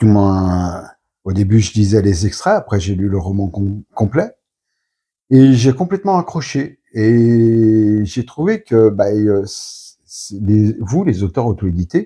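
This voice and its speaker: A man's very slow, medium-pitched voice with a dark, mellow tone, lively intonation and long, frequent pauses, in a very clean recording against a silent background. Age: 50s. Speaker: book reviewer. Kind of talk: interview. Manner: halting.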